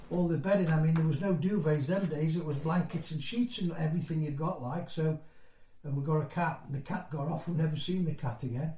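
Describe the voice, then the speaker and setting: Over noticeable background noise and audible room echo, a man speaks at a fairly quick pace with a fairly high pitch and fairly even intonation. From northeast England (County Durham), moved to Nottinghamshire at seven. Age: 60s. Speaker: former mining community resident. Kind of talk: oral history interview. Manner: conversational, hesitant with fillers.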